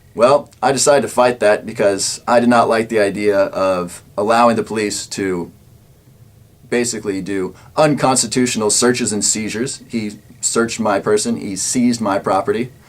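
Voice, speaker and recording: This man has a medium pitch and a normal speaking voice. His intonation is fairly even. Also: moderate pace. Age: 20s. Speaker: political talk show host. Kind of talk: personal account.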